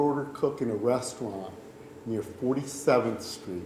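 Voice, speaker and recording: There is audible room echo and noticeable background noise as a man speaks at medium pitch with ordinary pitch variation. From New York City, Puerto Rican family. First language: Spanish. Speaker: storyteller. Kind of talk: personal storytelling.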